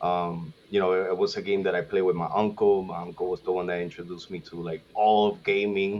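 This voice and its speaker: With a Spanish accent, a man talks at a very fast pace in a very deep, low pitch and monotone, flat intonation. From Puerto Rico. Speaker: gaming content creator, podcast guest. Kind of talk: casual podcast chat. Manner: hesitant, many fillers.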